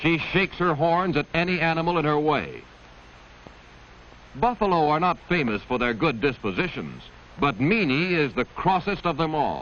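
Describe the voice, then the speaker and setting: Lively intonation and a fairly high pitch mark this man's unremarkable speaking voice. He keeps a moderate pace and very even loudness. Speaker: narrator. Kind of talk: vintage educational nature film narration. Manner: gentle, storytelling.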